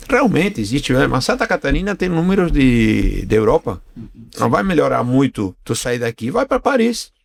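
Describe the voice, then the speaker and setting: A man speaks at a fairly high pitch with vocal fry. His pitch swings very widely, and the sound is dry and close with no echo. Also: moderate pace. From Argentina. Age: 60s. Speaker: business owner. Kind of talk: interview podcast.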